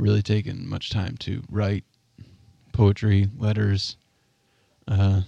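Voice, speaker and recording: At a very slow pace, a man speaks in a fairly low pitch with a dark, mellow tone and monotone, flat intonation. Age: 30s. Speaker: local food advocate and farm delivery partner. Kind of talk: casual chat.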